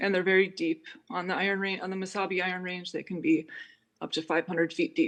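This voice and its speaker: Someone talks at a very fast pace with a Minnesota accent. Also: woman, medium pitch for a woman, ordinary pitch variation. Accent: Upper Midwest (Minnesota) American. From US Midwest, Hibbing, Minnesota. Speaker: musician and composer. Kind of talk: Q&A after a presentation.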